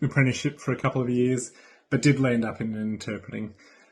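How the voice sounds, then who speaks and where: With an Australian accent, a man speaks at a medium pitch with fairly even intonation. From Australia, Brisbane. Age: 30s. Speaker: sign language interpreter. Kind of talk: recorded video greeting.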